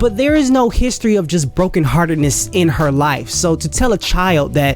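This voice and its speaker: A man speaks with music in the background. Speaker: movie reviewer. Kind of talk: casual movie review talk. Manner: fast.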